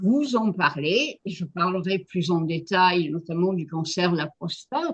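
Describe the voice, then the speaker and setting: A woman speaks at a very slow pace with hardly any pauses. Her pitch is fairly low, with ordinary pitch variation. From France. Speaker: physician and cancer epidemiologist. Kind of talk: interview. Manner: frank.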